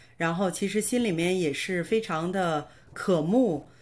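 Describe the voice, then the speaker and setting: This is a woman with an unremarkable speaking voice, talking at a fairly slow pace with ordinary pitch variation. The recording is very clean, with a silent background. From northern China (Hebei, Baoding). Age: 40s. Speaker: nurse and online course student. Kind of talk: interview testimony.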